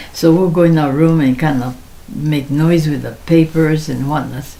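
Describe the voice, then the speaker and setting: Speaking in an American accent at a moderate pace, a woman has a very deep, low pitch with ordinary variation, heard over noticeable background noise. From Seattle, then Japan. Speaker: elderly interviewee sharing life story. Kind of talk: oral history interview. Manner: halting, with many fillers.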